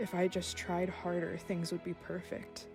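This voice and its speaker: Over music in the background, a woman talks at a moderate pace. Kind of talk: spoken word poetry. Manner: unscripted, raw, some stumbling.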